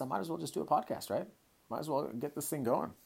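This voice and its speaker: The speaker talks at a very fast pace with an animated tone, vocal fry and an American accent. The recording is very clean, with a silent background. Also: man. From Hong Kong. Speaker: podcast host and kettlebell coach. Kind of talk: casual monologue.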